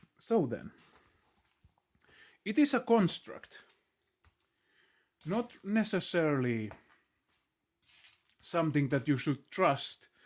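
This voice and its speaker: In a very clean recording with a silent background, a man with a Finnish accent speaks at a very slow pace with long, frequent pauses, his high pitch swinging very widely. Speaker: video blogger. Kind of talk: philosophical monologue. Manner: halting.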